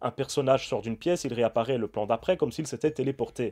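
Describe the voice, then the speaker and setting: A man's dark, mellow tone at a very fast pace, with ordinary pitch variation, in a very clean recording over a silent background. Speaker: film critic YouTuber. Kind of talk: film review.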